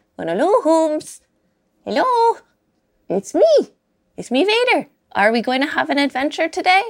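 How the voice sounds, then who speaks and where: In a high-pitched, put-on character voice with very wide pitch swings, the speaker goes at a moderate pace with long, frequent pauses. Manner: sweet, playful, greeting.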